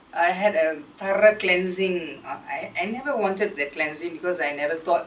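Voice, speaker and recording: A woman's fairly low voice at a moderate pace, with ordinary pitch variation and noticeable background noise. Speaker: former teacher, spiritual retreat participant. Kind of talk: testimony. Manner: halting.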